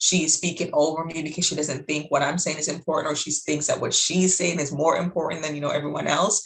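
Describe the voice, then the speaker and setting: Talking at a very fast pace over noticeable background noise, a woman keeps a fairly low pitch and fairly even intonation. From Jamaica. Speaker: life coach, interviewer. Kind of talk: interview conversation. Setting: video call.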